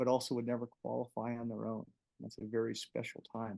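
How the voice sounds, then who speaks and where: In a dry, close recording with no echo, a man speaks at a fairly quick pace and medium pitch with fairly even intonation. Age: 60s. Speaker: paraplegic marathoner and doctor. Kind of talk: interview conversation.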